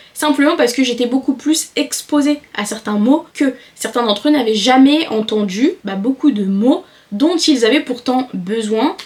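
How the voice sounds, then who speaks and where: Noticeable background noise sits behind the voice. A woman speaks high in pitch at a fairly slow pace. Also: lively intonation. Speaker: self-improvement YouTuber. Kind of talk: talking-head advice video.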